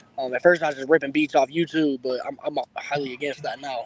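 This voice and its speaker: An American-accented man at a fairly quick pace, over noticeable background noise. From Indiana, US Midwest. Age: 20s. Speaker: rapper. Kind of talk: casual interview. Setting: outdoors.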